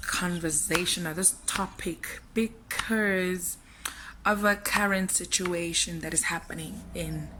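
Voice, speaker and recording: Over noticeable background noise, a woman with a medium pitch talks at a very slow pace. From South Africa. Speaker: vlogger. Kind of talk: casual vlog monologue. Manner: quieter than usual.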